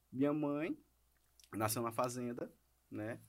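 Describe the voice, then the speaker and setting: Fairly even in intonation, a man of medium pitch has a plain, everyday voice. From Maranhão, Brazil. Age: 30s. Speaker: lawyer. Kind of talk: podcast interview. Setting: studio.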